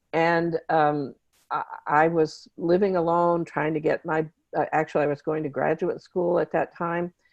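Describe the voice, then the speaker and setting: A woman's fairly low, monotone voice with flat intonation, at a moderate pace, with an American accent and a dry, close sound with no echo. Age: 70s. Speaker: therapist and author. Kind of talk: interview.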